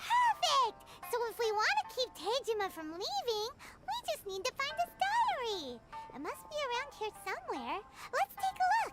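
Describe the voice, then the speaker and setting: A squeaky, put-on character voice at an extremely high pitch plays over music in the background. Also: moderate pace. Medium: video game. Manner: bright, chatty.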